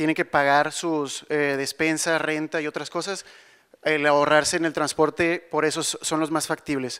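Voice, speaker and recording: Against a quiet background, a man speaks at a moderate pace with a fairly high pitch. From Monterrey, Mexico; Mexico. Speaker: civil engineer; conference presenter. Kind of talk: conference talk; panel Q&A. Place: hall. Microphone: handheld.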